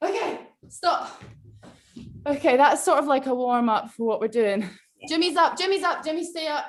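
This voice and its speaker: A woman with a Scottish accent speaks at a moderate pace in a high voice, her lively intonation broken by long, frequent pauses. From Scotland. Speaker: online movement workshop leader. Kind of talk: live instruction on a video call. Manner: animated.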